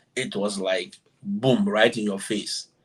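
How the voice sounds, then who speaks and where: A man with an African accent. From Ghana. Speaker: exchange teacher. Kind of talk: interview.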